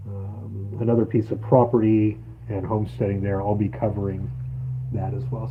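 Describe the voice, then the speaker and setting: Noticeable background noise and audible room echo surround a man talking at a moderate pace. His pitch is fairly low, with ordinary variation. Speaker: live streamer and homesteader. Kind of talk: casual live stream chat. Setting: outdoors on homestead, solar setup. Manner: hesitant, filler-heavy. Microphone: weak rural connection.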